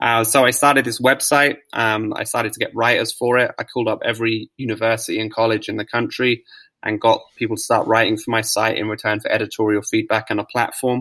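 At a fairly quick pace, a man with a medium-pitched voice and a bright, sharp tone speaks in a flat monotone, recorded very cleanly against a silent background. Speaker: author and growth marketer. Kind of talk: podcast interview. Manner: halting, many fillers and repeats.

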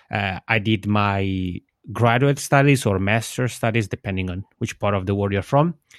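A man speaks at a moderate pace with ordinary pitch variation. The sound is dry and close with no echo, on a very clean recording with a silent background. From Switzerland, Italian-speaking region. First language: Italian. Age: 30s. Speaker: podcaster. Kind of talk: interview. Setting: internet call.

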